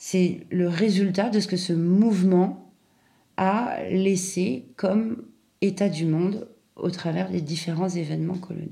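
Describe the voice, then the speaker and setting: Amid audible room echo, a woman speaks very slowly at a medium pitch, her tone dark, mellow and somewhat breathy, her intonation fairly even. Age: 40s. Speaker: podcaster. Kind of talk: personal essay monologue.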